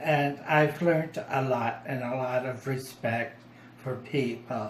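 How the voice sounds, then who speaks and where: In a room with audible echo, a man talks at a very slow pace with fairly even intonation. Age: 60s. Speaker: formerly homeless man. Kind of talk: personal testimony. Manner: halting.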